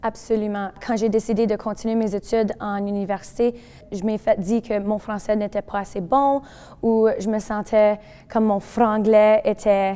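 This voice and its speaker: A dark, mellow tone at a fairly slow pace with monotone, flat intonation. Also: woman, fairly high pitch for a woman. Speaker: francophone community member. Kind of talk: testimony.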